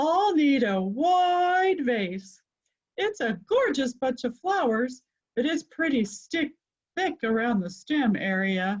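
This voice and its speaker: Using a put-on character voice, a woman speaks high and at a fairly slow pace, her pitch swinging very widely. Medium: read story. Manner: loud, bossy.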